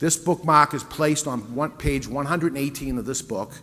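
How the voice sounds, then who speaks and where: A man with a fairly high pitch and a New England accent. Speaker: business owner and author giving a talk. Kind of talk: sales pitch. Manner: conversational.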